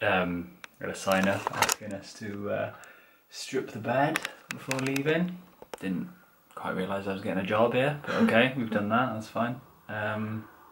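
Over noticeable background noise, a man with a fairly low pitch and ordinary pitch variation speaks with long, frequent pauses. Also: moderate pace. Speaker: travel vlogger. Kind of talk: casual vlog chat. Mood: wry, mildly complaining. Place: home room. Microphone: phone near.

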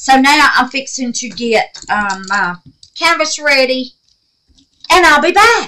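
A raised, projected voice with a Southern US accent, very slow pace, very wide pitch swings and long, frequent pauses. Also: woman, high pitch for a woman. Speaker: craft YouTuber. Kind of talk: casual craft tutorial. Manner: chatty, informal.

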